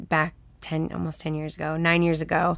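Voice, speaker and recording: This is a woman with a normal speaking voice, fairly low in pitch. She talks at a moderate pace in a very clean recording with a silent background. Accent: American. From Texas, Houston. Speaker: film producer and women-in-film organization director. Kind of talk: casual interview chat.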